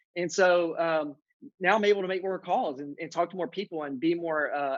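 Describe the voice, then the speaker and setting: A man with a Southern US accent, high pitch and fairly even intonation. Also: quiet background. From central Louisiana. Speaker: real estate agent. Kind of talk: podcast interview. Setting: office conference room.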